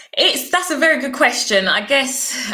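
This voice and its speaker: With lively intonation, a woman speaks against noticeable background noise. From London, Croydon. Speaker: former sprinter. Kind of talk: interview.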